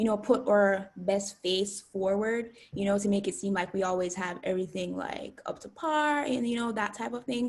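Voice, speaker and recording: In a Jamaican accent, a woman with a bubbly tone and medium pitch keeps a moderate pace, ordinary pitch variation and hardly any pauses. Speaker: student YouTuber. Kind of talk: interview. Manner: hesitant, many fillers.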